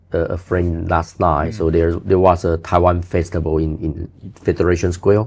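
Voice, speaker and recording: A man with a very deep, low, somewhat breathy voice speaks at a moderate pace in a monotone, flat delivery with hardly any pauses. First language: not English. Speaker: building inspector. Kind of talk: interview answer.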